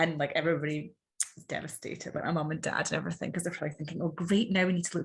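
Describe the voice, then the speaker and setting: A woman with an Edinburgh accent speaks in a fairly low, somewhat breathy voice. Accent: Scottish (Edinburgh). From Scotland, Edinburgh. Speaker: podcast guest, mother. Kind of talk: casual interview chat.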